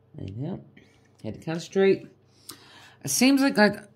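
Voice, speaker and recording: A loud woman's voice. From Canada. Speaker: craft hobby vlogger. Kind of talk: casual chat while crafting. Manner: rambling, halting; slightly loud. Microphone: voice aimed at canvas, maybe muffled.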